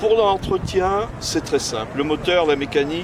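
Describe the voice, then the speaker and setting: A man is speaking. Background noise is noticeable. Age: 60s. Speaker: car owner, architect. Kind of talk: interview monologue about his car. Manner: hesitant, frequent fillers.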